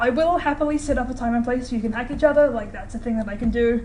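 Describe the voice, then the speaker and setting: Someone talks very fast in a New Zealand accent with ordinary pitch variation. Noticeable background noise and audible room echo fill the recording. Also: woman. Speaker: student lecturer teaching hacking course. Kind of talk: lecture. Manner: casual, filler-heavy.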